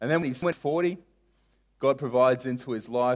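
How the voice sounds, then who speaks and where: With a very clean recording and a silent background, a man speaks in an unremarkable speaking voice, medium in pitch with ordinary pitch variation. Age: 30s. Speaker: pastor. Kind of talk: sermon.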